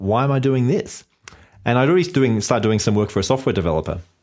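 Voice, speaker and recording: On a very clean recording with a silent background, a man with an Australian accent speaks very fast at a medium pitch. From Australia, Sydney / Blue Mountains. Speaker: web entrepreneur. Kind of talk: podcast interview.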